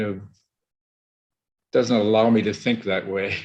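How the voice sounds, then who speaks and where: A man at medium pitch with a monotone, flat intonation. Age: 80s+. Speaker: veteran architect. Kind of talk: casual chat.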